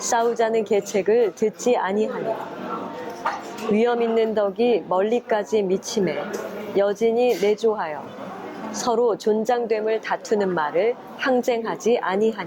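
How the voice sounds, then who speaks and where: A woman with a fairly high pitch talks very slowly in a calm, soothing tone, leaving long, frequent pauses. Her loudness is very even, her pitch variation ordinary, and there is noticeable background noise. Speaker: former announcer, university professor, reading guest. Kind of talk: ASMR reading of a classical text. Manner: calm, measured, soothing.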